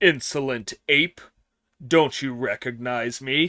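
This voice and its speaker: Putting on a character voice, a man keeps to a medium pitch. His pace is fairly slow. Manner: shouting, angry.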